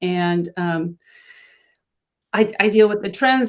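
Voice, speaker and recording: The woman has an unremarkable speaking voice with fairly even intonation. She talks at a fairly slow pace against a quiet background. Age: 60s. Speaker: fashion and beauty blogger. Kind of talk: casual chat.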